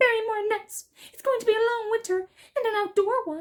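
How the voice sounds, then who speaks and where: A squeaky, extremely high-pitched put-on character voice at a fairly quick pace. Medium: read story. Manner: plaintive.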